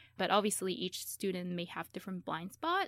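A woman with a Chinese accent speaks at a medium pitch in a very clean recording with a silent background. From China. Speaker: PhD student in molecular biology. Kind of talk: radio interview.

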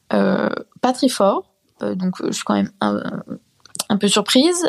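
A woman speaks at a very slow pace. The sound is dry and close, with no echo. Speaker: student, listener. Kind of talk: anecdote. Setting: recorded voice message.

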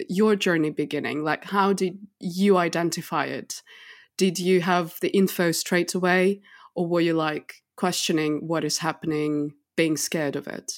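Over a very clean, silent background, a woman with an ordinary speaking voice and fairly low pitch talks at a fairly slow pace with ordinary pitch variation. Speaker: podcast host. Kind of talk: casual interview chat.

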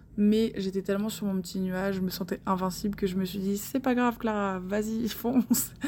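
Medium in pitch with fairly even intonation, a woman talks at a moderate pace in an unremarkable speaking voice. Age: 20s. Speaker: listener sharing travel story. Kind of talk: recorded voice message testimony.

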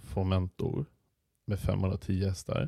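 Very slowly, a man speaks in a somewhat breathy, fairly low voice with a dark, mellow tone. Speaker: podcast co-host, radio entrepreneur. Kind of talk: casual chat.

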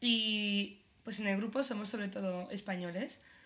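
This woman's voice sits at a fairly high pitch. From Spain. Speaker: podcast co-host. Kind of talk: casual chat.

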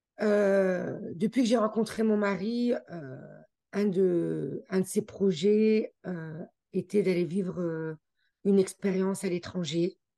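Pausing long and often, a woman talks at a very slow pace in a medium-pitched voice with a dark, mellow tone and fairly even intonation. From France, near the Swiss border (Haute-Savoie). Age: 40s. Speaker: immigrant guest sharing her story. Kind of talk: casual interview.

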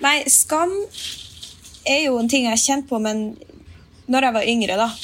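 The voice carries ordinary pitch variation within audible room echo. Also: woman. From Finnmark, northern Norway. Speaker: musician. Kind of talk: casual chat. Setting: remote recording.

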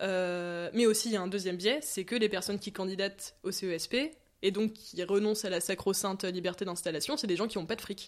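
A woman with an unremarkable speaking voice talks at a fairly quick pace with fairly even intonation. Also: medium pitch for a woman. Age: 20s. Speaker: medical student. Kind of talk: casual interview.

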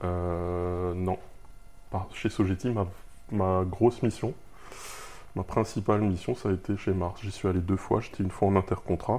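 A man speaks fairly slowly with a very deep, low pitch and a dark, mellow tone. His intonation is monotone and flat, broken by long, frequent pauses. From Alsace, France (Haguenau). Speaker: freelance iOS developer. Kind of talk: interview. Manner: halting, frequent repetitions.

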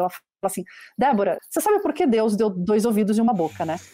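The tone is dark and mellow. The delivery comes at a very fast pace. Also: woman. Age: 40s. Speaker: marketing executive. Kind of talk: interview.

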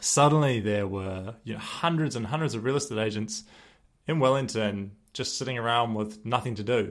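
A man with a New Zealand accent talks at a moderate pace, with a medium pitch and ordinary pitch variation. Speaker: podcast host and former real estate agent. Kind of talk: solo podcast monologue.

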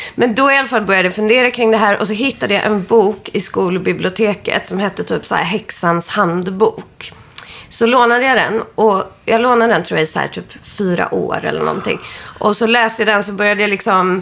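Fairly quick speech amid noticeable background noise. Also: woman, medium pitch for a woman, ordinary pitch variation. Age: 30s. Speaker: witch and astrology reader. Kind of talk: astrology reading; casual chat.

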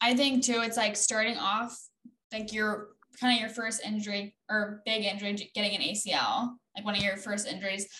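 Speaking fairly quickly with an American accent, a woman has an unremarkable speaking voice, a fairly high pitch and fairly even intonation. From Oregon. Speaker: podcast co-host, soccer player. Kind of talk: casual interview.

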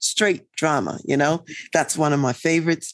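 This is a normal speaking voice with an American accent, moving at a moderate pace. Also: woman. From US East Coast. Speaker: leadership consultant and psychologist. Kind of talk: interview.

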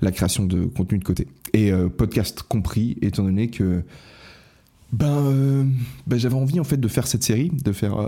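In a very clean recording with a silent background, a man with a dark, mellow tone speaks at a moderate pace with lively intonation. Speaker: podcast host. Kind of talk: casual monologue. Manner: soft-spoken.

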